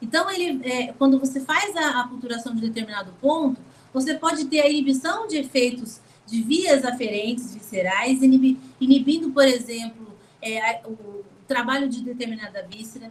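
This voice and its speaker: With a high pitch and ordinary pitch variation, a woman speaks at a moderate pace, her loudness swinging widely. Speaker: lecturer on acupuncture. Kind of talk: lecture. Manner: animated.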